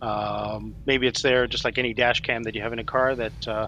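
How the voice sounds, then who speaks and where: Noticeable background noise sits behind the recording. A man speaks at a moderate pace throughout. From South Africa. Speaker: police sergeant. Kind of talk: live Q&A stream.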